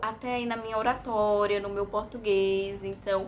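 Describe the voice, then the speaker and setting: A woman speaks at a fairly slow pace. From Brazil, Bahia. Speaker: vlogger. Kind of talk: casual vlog monologue. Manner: hesitant, many fillers.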